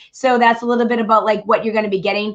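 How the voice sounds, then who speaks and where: A woman talks with a Boston accent. Her pitch sits fairly high. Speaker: podcast host and comedian. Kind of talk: casual chat.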